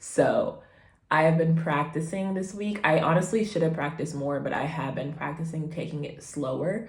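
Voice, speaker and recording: With audible room echo, a woman speaks at a moderate pace and fairly low pitch, somewhat breathy, with ordinary pitch variation. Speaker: vlogger and beginner actor. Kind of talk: casual vlog chat.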